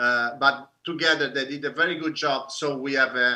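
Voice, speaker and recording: With an Italian accent, a man speaks at a moderate pace. His fairly high pitch stays in fairly even intonation. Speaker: film director. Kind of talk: panel discussion. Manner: halting.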